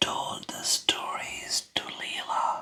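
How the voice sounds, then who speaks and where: Whispered words come at a very slow pace. Behind them sits noticeable background noise. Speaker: ASMR creator. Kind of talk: whispered bedtime story for sleep.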